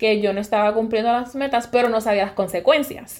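A woman's fairly high voice with ordinary pitch variation and a Puerto Rican accent. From Puerto Rico, west (Sabana Grande). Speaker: podcast host, university professor. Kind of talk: solo monologue, personal story.

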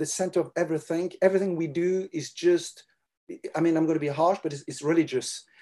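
In a French accent, a man with a high pitch and a dark, mellow tone speaks at a moderate pace. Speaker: children's ministry leader. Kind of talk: interview.

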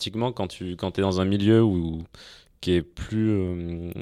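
A man with a normal speaking voice, fairly low in pitch with ordinary pitch variation, at a fairly slow pace on a very clean recording with a silent background. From France, Auvergne (Clermont-Ferrand). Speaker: venture capital investor. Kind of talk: casual interview.

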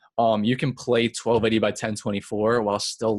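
A man with a New York accent and monotone, flat intonation, in a very clean recording with a silent background. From Long Island, New York. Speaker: professional gamer. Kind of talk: interview. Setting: home basement on extension cord.

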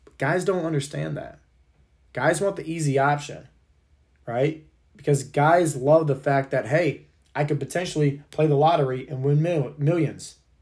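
This man's voice is somewhat breathy. It sits at a fairly high pitch. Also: moderate pace. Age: 30s. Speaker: fitness and health coach, podcast host. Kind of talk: motivational monologue. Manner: energetic, emphatic.

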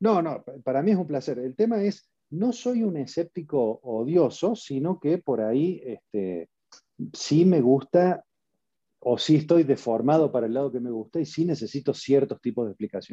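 Recorded with a dry, close sound and no echo, a man speaks at a moderate pace with a fairly high pitch, a dark, mellow tone and very wide pitch swings. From Argentina. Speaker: passive investor, tech entrepreneur. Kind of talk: interview.

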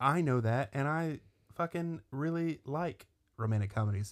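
The man has a normal speaking voice with lively intonation and a moderate pace. The recording is very clean, with a silent background. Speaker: podcast co-host. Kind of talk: casual banter.

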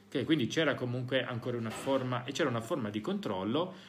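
Lively intonation marks a man's medium-pitched voice, heard with audible room echo. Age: 40s. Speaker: psychologist and podcast host. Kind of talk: talk to parents (recorded live session). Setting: school (recorded live session).

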